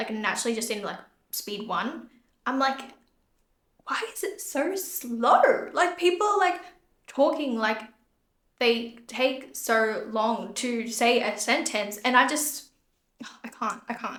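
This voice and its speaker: A woman's high voice moves through very wide pitch swings at a very slow pace. Long, frequent pauses break her speech, and the room echo is audible. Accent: Australian. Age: 20s. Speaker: podcast host and beauty business owner. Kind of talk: casual solo podcast talk. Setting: empty room.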